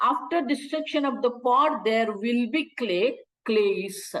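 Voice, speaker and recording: The speaker is a woman who talks fairly slowly. There is ordinary variation in her pitch. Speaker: Vedanta teacher. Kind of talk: lecture.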